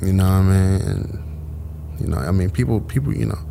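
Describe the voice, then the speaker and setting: Through noticeable background noise, a man speaks fairly quickly in a very deep, low voice with ordinary pitch variation. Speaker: rapper and entrepreneur. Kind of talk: casual interview. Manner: halting, many fillers.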